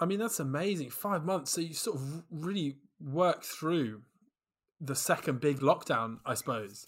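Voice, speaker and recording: A man's plain, everyday voice, fairly high in pitch, with lively intonation on a very clean recording with a silent background. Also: moderate pace. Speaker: podcast host. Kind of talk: casual interview chat.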